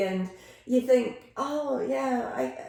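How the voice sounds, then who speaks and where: A woman in an Aberdonian accent talks in a high voice over noticeable background noise. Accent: Scottish, Aberdonian. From Aberdeen, Scotland. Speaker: retired educator and former foster carer. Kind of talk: interview answer.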